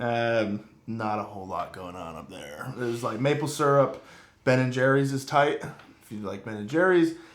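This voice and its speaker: An American accent at a moderate pace, with audible room echo. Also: man, medium pitch for a man, lively intonation, big swings in loudness. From Vermont, US New England. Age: 20s. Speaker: strength and conditioning coach, podcast co-host. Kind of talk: casual chat.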